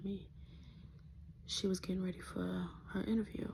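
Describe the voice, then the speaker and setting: A soft-spoken woman with a dark, mellow tone, somewhat breathy, in a monotone, flat intonation at a fairly slow pace. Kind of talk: testimony. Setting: home, early morning. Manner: casual.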